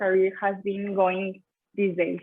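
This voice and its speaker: A woman talks with a Spanish accent. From Mexico. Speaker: talk show host, engineering student. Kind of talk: interview.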